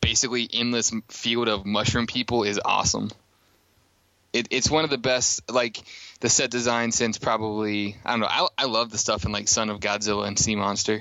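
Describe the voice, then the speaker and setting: Delivered at a fairly quick pace, this is a plain, everyday voice. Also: man. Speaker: podcast host.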